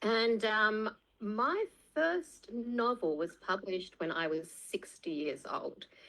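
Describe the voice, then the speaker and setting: The woman has an Australian accent and a bright, sharp tone. Her intonation is lively, though her pace is very slow. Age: 60s. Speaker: author. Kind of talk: casual chat. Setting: video call.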